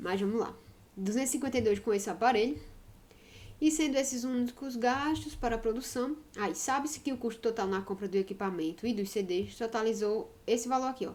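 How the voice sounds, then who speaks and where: Fairly high pitch from a woman, with ordinary pitch variation and a fairly quick pace. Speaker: math teacher. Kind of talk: lecture. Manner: fast; animated.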